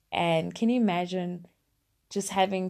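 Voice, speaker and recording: A woman's voice, warm and dark and mellow in tone, comes through against a quiet background. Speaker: podcast host. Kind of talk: solo monologue, motivational talk. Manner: reflective, conversational, warm.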